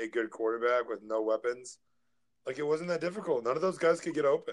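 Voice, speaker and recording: With an American accent and ordinary pitch variation, a plain, everyday voice moves at a fairly quick pace. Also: man. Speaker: fantasy football podcast co-host. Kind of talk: casual chat.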